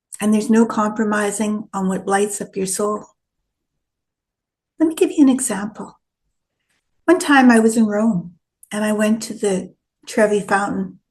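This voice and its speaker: A woman with a fairly high voice and a somewhat breathy quality talks fairly slowly. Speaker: retired solo traveler and travel vlogger. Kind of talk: casual talk to camera, travel vlog.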